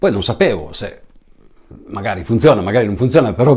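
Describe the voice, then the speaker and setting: A man rushes along at a very fast pace, somewhat breathy, with a dark, mellow tone. His intonation is lively. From Italy, Piedmont and Liguria (Savona province). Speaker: cook and musician. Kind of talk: personal storytelling. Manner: halting, many repetitions and fillers.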